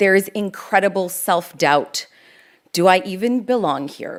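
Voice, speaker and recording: This is a plain, everyday voice with a Canadian accent. The pace is fairly slow and the intonation lively. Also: woman. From Canada, Toronto. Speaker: lawyer and public speaker. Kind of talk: keynote talk. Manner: conversational.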